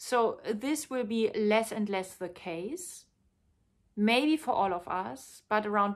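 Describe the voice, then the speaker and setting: Very slow, lively intonation with a non-native accent, in a very clean recording with a silent background. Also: woman. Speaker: tantra teacher and author. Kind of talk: personal video monologue.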